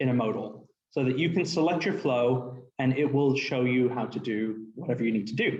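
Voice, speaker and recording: A somewhat breathy man speaks with ordinary pitch variation in audible room echo. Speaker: developer advocate. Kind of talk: technical presentation demo. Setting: live presentation with in-person and Zoom audience. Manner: fast.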